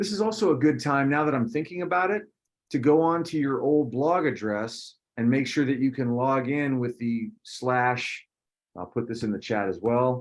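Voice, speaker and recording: A man has a normal speaking voice, medium in pitch, with lively intonation at a moderate pace. The background is quiet. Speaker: teacher. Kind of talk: online class orientation.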